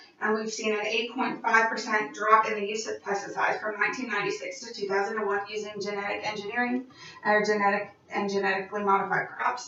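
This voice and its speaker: Over noticeable background noise, a woman speaks at a fairly high pitch in a monotone, flat intonation. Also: hardly any pauses. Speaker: college student. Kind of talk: class opinion speech.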